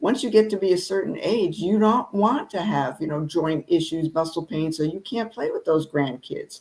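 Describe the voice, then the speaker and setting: Speaking in a normal speaking voice, a woman with fairly low pitch keeps a moderate pace, lively intonation and hardly any pauses. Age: 60s. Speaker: wellness podcast panelist. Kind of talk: casual panel discussion. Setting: live stream.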